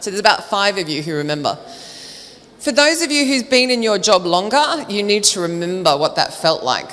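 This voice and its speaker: A woman with an Australian accent at a medium pitch, animated in tone with very wide pitch swings, fairly quick in pace, amid audible room echo and noticeable background noise. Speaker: recruitment trainer and speaker. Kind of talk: conference talk. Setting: stage with audience. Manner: fast.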